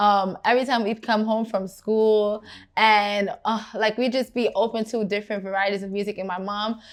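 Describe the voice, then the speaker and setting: Someone talks at a moderate pace with a Brooklyn accent and fairly even intonation. The recording is very clean, with a silent background. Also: woman. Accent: New York (Brooklyn). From Brooklyn, New York, Guyanese family. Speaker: R&B singer. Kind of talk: interview. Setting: studio.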